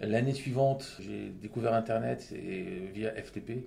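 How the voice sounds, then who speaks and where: A man's fairly low voice has a dark, mellow tone with vocal fry. His pitch varies in an ordinary way, and audible room echo surrounds it. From Lebanon and Saudi Arabia, then France. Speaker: entrepreneur. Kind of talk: interview. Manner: halting, with many fillers.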